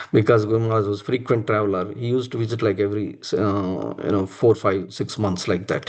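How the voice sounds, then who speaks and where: Speaking very fast with hardly any pauses, a man with a fairly low pitch talks in a Telugu accent. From India, Andhra Pradesh (Visakhapatnam). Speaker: religious devotee sharing personal memories. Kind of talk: testimony. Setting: live-streamed temple program. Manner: halting, many fillers.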